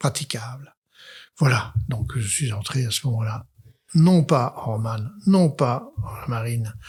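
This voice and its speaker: Somewhat breathy, a man talks at a very slow pace with ordinary pitch variation in a very clean recording with a silent background. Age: 80s+. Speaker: psychiatrist. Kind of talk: interview testimony. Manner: hesitant, many fillers; gentle, humble.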